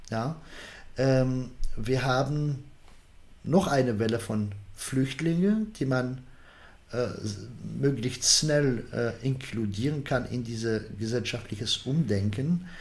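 Somewhat breathy and medium in pitch, a man speaks very slowly with long, frequent pauses, audible room echo around him. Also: ordinary pitch variation. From Algeria. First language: Arabic or French (Algerian) (speaking German). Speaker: political science professor. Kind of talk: interview. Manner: halting, many fillers.

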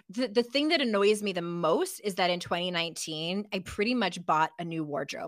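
A woman with a plain, everyday voice speaks at medium pitch and a moderate pace. Her pitch varies in an ordinary way, and the recording is very clean with a silent background. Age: 40s. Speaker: author and life coach. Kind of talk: casual interview.

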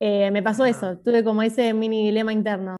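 A woman speaks at a fairly high pitch in a dark, mellow tone with fairly even intonation. The background is quiet. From Buenos Aires, Argentina. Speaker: YouTuber. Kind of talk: casual interview.

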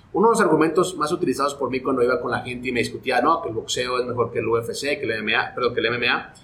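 This man has an unremarkable speaking voice with a fairly high pitch. He moves at a fairly quick pace with ordinary pitch variation. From Guatemala. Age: 40s. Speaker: sports broadcaster. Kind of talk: casual interview.

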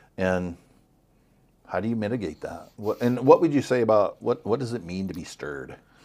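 A normal speaking voice from a man, fairly low in pitch, with lively intonation and big swings in loudness. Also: fairly quick pace. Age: 50s. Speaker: life coach, former church consultant. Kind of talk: casual chat.

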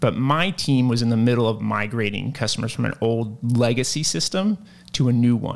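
With an American accent, a man speaks at a medium pitch and moderate pace, with ordinary pitch variation and a plain, everyday voice. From Virginia (Lynchburg). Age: 30s. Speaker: tech sales manager. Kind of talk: interview.

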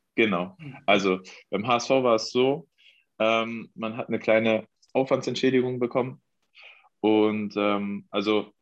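Against a quiet background, a man speaks with a fairly low pitch and fairly even intonation. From Mecklenburg-Vorpommern, Germany. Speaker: professional football goalkeeper. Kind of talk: interview.

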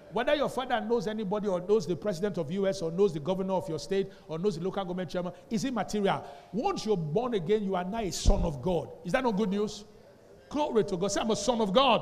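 Amid noticeable background noise, a man with an animated tone talks very fast in a high pitch, with ordinary pitch variation. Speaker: pastor. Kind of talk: Sunday sermon delivered to a live congregation, heavy call-and-response. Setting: church with live congregation. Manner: animated, drilling the congregation with fill-in-the-blank questions; repeatedly demands responses, emphatic and exhortative.

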